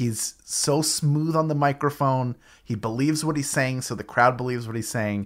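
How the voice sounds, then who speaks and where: In a very clean recording with a silent background, a man with a plain, everyday voice speaks at a moderate pace and a medium pitch, with fairly even intonation. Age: 40s. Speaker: podcast host. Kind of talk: casual chat.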